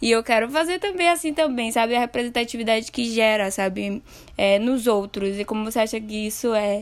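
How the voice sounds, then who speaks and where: Speaking in an ordinary speaking voice, a woman talks at a moderate pace with a fairly high pitch. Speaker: podcast host. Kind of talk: casual podcast interview.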